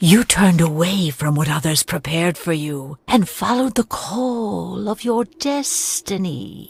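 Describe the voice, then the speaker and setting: Using a put-on character voice, a woman speaks at a moderate pace in a fairly low pitch with very wide pitch swings. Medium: video game. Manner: mystical, portentous.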